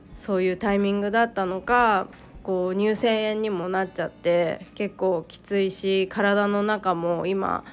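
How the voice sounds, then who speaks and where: A woman is speaking at a medium pitch. Her intonation is monotone and flat. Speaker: solo podcaster, mother. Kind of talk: casual solo monologue. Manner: halting, many pauses and fillers.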